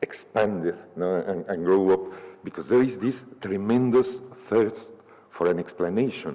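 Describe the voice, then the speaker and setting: A man with a fairly low pitch and ordinary pitch variation, at a fairly slow pace, over noticeable background noise. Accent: Spanish. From Mexico City. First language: Spanish. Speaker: novelist. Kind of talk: panel discussion. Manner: halting, many repetitions.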